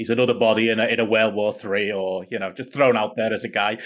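A man with a British accent, talking at a very fast pace. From United Kingdom. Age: 30s. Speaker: wrestling podcaster, guest. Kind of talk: casual chat. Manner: frequent fillers and hesitations.

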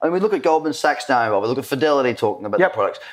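The man speaks in a high pitch with an Australian accent. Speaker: podcast host. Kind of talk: casual interview. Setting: at a conference in Dubai.

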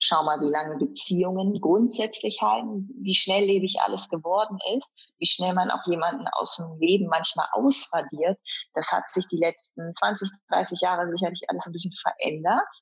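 A woman talks at a medium pitch, with vocal fry throughout. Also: moderate pace. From East Frisia, northern Germany. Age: 30s. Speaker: event presenter and athlete. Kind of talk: interview.

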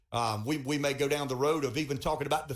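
A man with a Southern US accent talks at a very fast pace in a fairly high voice. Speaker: radio talk show host. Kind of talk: radio interview. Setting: radio studio.

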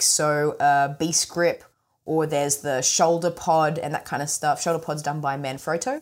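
A woman speaks at a moderate pace and fairly low pitch. She has a slight Australian accent. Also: very clean recording, silent background. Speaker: smartphone filmmaking expert. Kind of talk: interview. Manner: mumbly.

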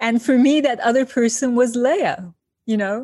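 A woman with a Turkish accent speaks at a fairly slow pace, fairly high in pitch with ordinary variation. The recording is very clean with a silent background and a dry, close sound with no echo. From Turkey, Izmir. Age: 50s. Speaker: designer and author. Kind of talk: interview.

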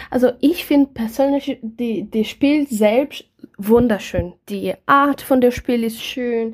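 At a very slow pace, a woman talks in a high pitch with ordinary pitch variation. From Brazil. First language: Portuguese (speaking German). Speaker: board game enthusiast, co-host's partner. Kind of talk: casual chat. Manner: halting.

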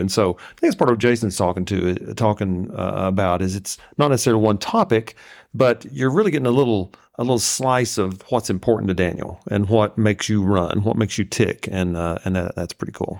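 In a Southern US accent, a man talks at a fairly quick pace with a fairly low voice and ordinary pitch variation. The recording is very clean, with a silent background. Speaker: guest co-host, host's father. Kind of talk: casual chat. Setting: studio.

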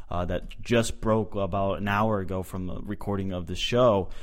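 Speaking at a moderate pace with an American accent, a man uses a normal speaking voice and ordinary pitch variation. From Boston. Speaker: soccer podcast host. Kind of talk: casual chat.

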